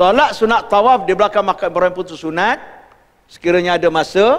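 Against a quiet background, a man with a high pitch talks at a fairly quick pace with ordinary pitch variation. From Malaysia. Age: 60s. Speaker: religious teacher. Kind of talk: lecture. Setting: mosque. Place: hall.

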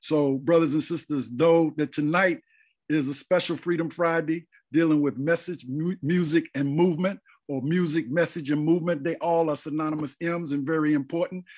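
Fairly high-pitched male voice against a quiet background. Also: moderate pace. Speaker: forum moderator. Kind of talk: casual chat. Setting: video call. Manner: animated. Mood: warm, smiling. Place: home room. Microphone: video call.

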